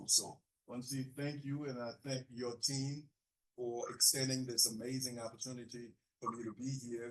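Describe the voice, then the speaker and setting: A man with a Haitian accent speaks at a fairly slow pace. His medium-pitched voice keeps a fairly even intonation. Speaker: pastor. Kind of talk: keynote speech.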